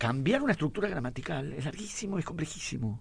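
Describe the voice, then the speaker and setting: Somewhat breathy and fairly high in pitch, a man speaks at a very fast pace with lively intonation. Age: 80s+. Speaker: writer and teacher. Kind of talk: radio interview. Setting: studio.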